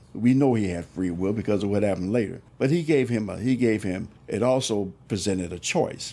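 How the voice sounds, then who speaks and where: A man's fairly low, dark, mellow voice at a fairly quick pace. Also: lively intonation. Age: 70s. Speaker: church minister. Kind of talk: religious discussion. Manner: halting.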